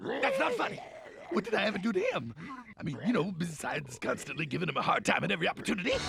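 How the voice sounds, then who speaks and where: Against clear background noise, a man does a cartoonish character voice at a high pitch and a very fast pace. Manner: brash, fast, wisecracking.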